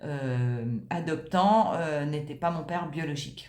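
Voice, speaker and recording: With an audible room echo and noticeable background noise, a woman talks using ordinary pitch variation. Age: 60s. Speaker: client giving a testimonial. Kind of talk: testimony. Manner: halting, many hesitations.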